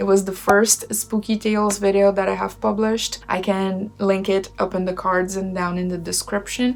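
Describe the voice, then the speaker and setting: Monotone, flat intonation from a woman at a medium pitch, moderate pace, and noticeable background noise. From Brazil. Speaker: witch and tarot reader, channel host. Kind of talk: reading aloud and commentary. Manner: casual with filler words.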